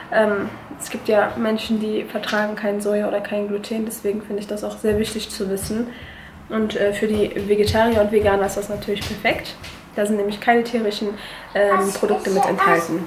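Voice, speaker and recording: Room echo and light background noise are audible as a woman speaks at a moderate pace with fairly even intonation. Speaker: beauty vlogger. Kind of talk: casual vlog product review. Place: kitchen. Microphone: phone near.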